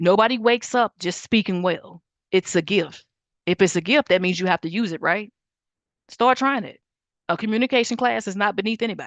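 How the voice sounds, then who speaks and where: A woman speaks in a plain, everyday voice at a medium pitch and a fairly quick pace, with ordinary pitch variation. The sound is dry and close with no echo, over a quiet background. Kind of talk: teaching livestream lecture. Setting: Zoom and YouTube livestream.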